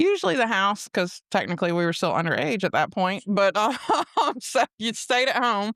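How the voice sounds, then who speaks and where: A woman with an Alabama accent, medium in pitch, in a dry, close recording free of echo. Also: lively intonation, moderate pace. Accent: Southern US (Alabama). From US South, Mobile, Alabama. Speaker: guest sharing personal testimony. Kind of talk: casual testimony interview.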